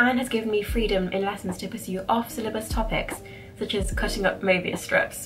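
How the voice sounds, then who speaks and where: Over clear background music, a woman with an English accent talks at a fairly quick pace, her fairly high pitch held in fairly even intonation. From England. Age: 20s. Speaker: maths graduate. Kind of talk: reading aloud. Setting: bedroom. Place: home room. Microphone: camera far.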